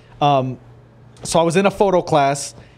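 A man's unremarkable speaking voice, fairly high in pitch, at a moderate pace. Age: 20s. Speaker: professional boxer. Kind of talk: interview. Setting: studio.

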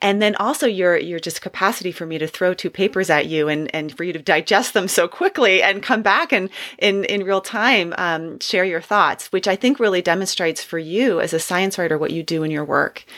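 A woman uses a normal speaking voice at a medium pitch, talking at a fairly quick pace with ordinary pitch variation and hardly any pauses. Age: 40s. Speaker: podcast host, clinical psychologist. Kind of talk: interview.

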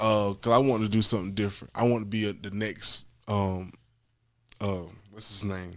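A man speaks in a monotone, flat intonation. His pauses are long and frequent. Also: fairly low pitch for a man, moderate pace. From Jacksonville, Florida (north side). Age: 20s. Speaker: rapper and comedian. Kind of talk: casual interview.

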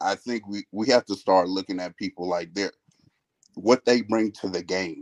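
A man talks in a normal speaking voice, fairly low in pitch, at a moderate pace with fairly even intonation. The sound is dry and close, with no echo. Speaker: basketball debate panelist.

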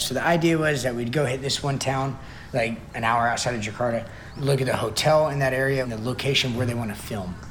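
Through noticeable background noise, a man speaks at a medium pitch and a very fast pace. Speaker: fitness trainer, interviewee. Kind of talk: interview recounting a story. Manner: casual, rambling, animated.

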